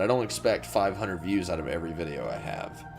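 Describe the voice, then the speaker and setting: With music in the background, a man talks at a very fast pace with lively intonation in a Southern US accent. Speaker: gaming YouTuber. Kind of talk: casual vlog monologue. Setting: small home studio. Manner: fast-paced; rambling, hesitant.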